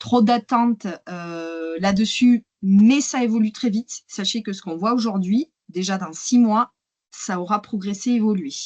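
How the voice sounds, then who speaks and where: Somewhat breathy, the speaker talks at a fairly slow pace with a southern French accent and ordinary pitch variation. The sound is dry and close, with no echo. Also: woman. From southern France, Hérault. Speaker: AI and wine marketing consultant. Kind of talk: webinar presentation. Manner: hesitant, many fillers.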